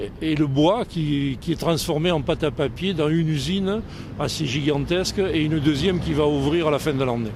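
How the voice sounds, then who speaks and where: Over noticeable background noise and audible room echo, a man talks at a moderate pace with a fairly high pitch and ordinary pitch variation. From southern France, Montpellier. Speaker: French retiree living abroad. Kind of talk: outdoor interview. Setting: outdoors on a city square.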